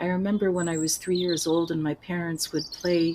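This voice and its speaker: A woman speaks with an American accent at a fairly low pitch and a fairly quick pace. Noticeable background noise runs underneath. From United States. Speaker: voice teacher and author. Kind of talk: interview.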